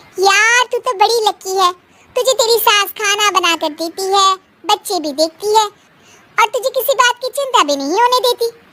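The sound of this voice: A woman's extremely high, cartoonish character voice at a moderate pace, with ordinary pitch variation and a dry, close sound with no echo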